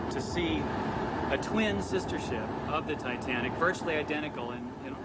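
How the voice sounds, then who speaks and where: Loud background noise sits behind a man's voice. He speaks at a moderate pace with ordinary pitch variation. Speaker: ship illustrator. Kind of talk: interview answer. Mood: enthusiastic, anticipating. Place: boat.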